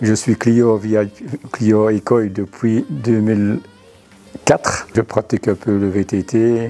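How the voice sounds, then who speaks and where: Noticeable background noise sits behind a man speaking at a very slow pace. His pitch is fairly low and his intonation fairly even. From Belgium, Huy area (Wallonia). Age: 60s. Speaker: amateur cyclist, customer. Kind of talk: interview. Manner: hesitant, many fillers.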